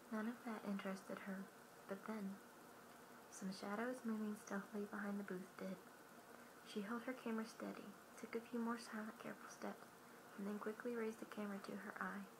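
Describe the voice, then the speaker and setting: Soft-spoken and gentle in tone, a woman talks at a fairly quick pace with a medium pitch and flat, monotone intonation, leaving long, frequent pauses over noticeable background noise. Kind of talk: audiobook-style reading aloud. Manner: soft-spoken, gentle.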